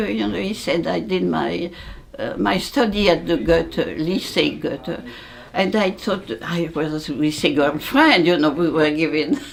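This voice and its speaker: With a French accent, a woman speaks at a fairly slow pace in a room with audible echo and noticeable background noise. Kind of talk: oral history interview. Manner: halting.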